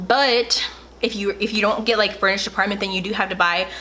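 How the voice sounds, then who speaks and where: Over noticeable background noise, a woman talks at a fairly quick pace in a fairly high, animated tone. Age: young. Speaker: YouTuber. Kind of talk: casual advice vlog. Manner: fast.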